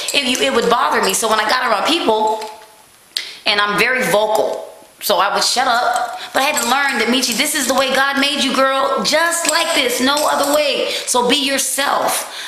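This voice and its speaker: Over noticeable background noise and audible room echo, a woman with a high pitch speaks in a raised, projected voice with an animated tone, very even loudness and ordinary pitch variation. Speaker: vlogger. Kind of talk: casual monologue. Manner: fast.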